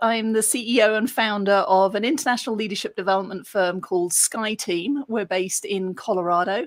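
A woman with a non-native accent, medium pitch and a moderate pace. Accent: foreign, non-American. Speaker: leadership development executive. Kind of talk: casual interview.

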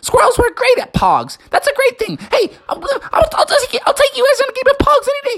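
A put-on character voice with vocal fry and a fairly bright tone moves at a fairly quick pace through very wide pitch swings.

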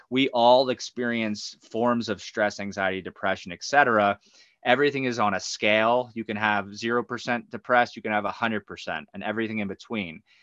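A man with an American accent and an ordinary speaking voice talks at a moderate pace in a medium pitch with fairly even intonation, recorded with a dry, close sound with no echo against a quiet background. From New Jersey. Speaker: life coach and yoga teacher. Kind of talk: casual interview.

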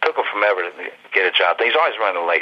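Talking at a very fast pace, a man with an American accent uses lively intonation at a fairly low pitch. Noticeable background noise is present. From Ohio, US Midwest (Youngstown). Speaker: comic book artist. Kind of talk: interview. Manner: casual, animated.

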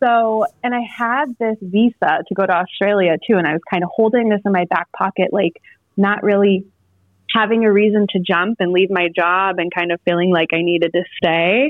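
A woman talks in an ordinary speaking voice at a moderate pace, with a medium pitch, ordinary pitch variation and very even loudness. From North Carolina, born in Iowa. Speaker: mental health counselor and writer. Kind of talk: interview. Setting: phone call.

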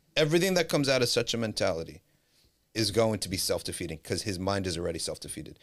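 Delivered at a very fast pace with very wide pitch swings, the animated tone comes in a New Jersey accent. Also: man. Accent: New Jersey American. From US Northeast (New Jersey). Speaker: Islamic scholar and teacher. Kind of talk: podcast interview. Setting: studio, in person.

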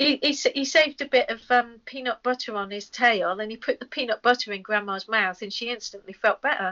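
With an English accent, a woman talks at a fairly quick pace with hardly any pauses, her fairly high voice swinging widely in loudness. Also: ordinary pitch variation. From England. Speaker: rock singer and comics artist. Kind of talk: casual chat.

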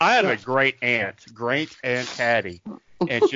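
This man talks with a slight Southern US accent. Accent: slight Southern twang. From Tulsa, Oklahoma. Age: 50s. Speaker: Patreon fan, former minister. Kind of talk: casual chat about a TV show.

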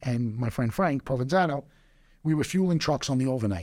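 Very fast speech from a man with a New York accent, fairly high-pitched with ordinary pitch variation, in a very clean recording with a silent background. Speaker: entrepreneur. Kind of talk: casual chat.

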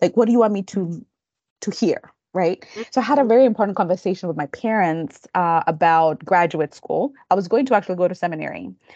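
With a Kenyan accent, a dark, mellow voice rushes at a very fast pace with lively intonation, its sound dry and close with no echo against a quiet background. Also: woman, medium pitch for a woman. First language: Kikamba. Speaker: counseling professor. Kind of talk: interview. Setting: video call.

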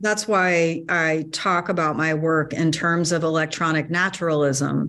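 A woman with a plain, everyday voice speaks at a fairly slow pace and a fairly low pitch. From US South, North Carolina. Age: 50s. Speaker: artist and electrical engineer. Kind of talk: interview conversation.

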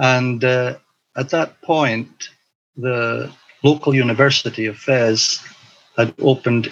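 Speaking very slowly with a Highland Scottish accent, a man uses a medium pitch and fairly even intonation. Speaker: missionary and teacher. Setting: video call.

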